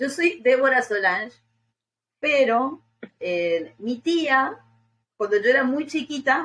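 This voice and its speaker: Very slowly, a woman speaks with a high pitch and very wide pitch swings. Her pauses are long and frequent. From Argentina, Misiones province near Paraguay and Brazil border. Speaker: podcast guest. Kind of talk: casual interview chat.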